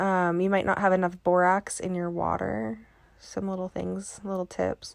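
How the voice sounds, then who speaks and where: A soft-spoken woman talks at a fairly slow pace and medium pitch. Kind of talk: tutorial. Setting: voiceover. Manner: halting.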